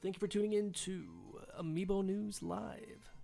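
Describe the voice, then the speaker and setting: The speaker uses a put-on character voice. Music plays in the background. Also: female-sounding voice, medium pitch for a woman, moderate pace. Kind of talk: smooth, announcer voice.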